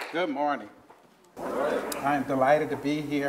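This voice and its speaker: The man speaks at a fairly slow pace with a medium pitch. There is audible room echo and noticeable background noise. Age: 60s. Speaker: professor. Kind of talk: keynote lecture.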